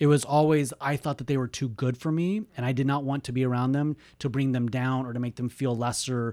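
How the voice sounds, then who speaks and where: With an American accent and a dark, mellow tone, the voice moves at a fairly quick pace with fairly even intonation and hardly any pauses, in a very clean recording with a silent background. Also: man, medium pitch for a man. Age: 40s. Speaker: podcast host and coach. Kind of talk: personal monologue.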